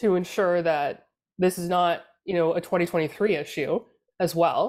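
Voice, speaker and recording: A woman with a Canadian accent speaks in a plain, everyday voice at a moderate pace and medium pitch. The recording is very clean, with a silent background. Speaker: political communications consultant. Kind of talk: casual panel discussion.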